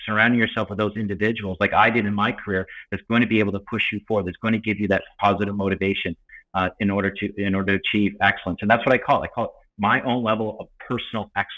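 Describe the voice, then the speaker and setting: Speaking at a very fast pace, a man with a fairly low pitch keeps a monotone, flat intonation. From Atlantic Canada, Cape Breton Island. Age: 40s. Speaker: paralympic swimmer and motivational speaker. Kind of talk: interview.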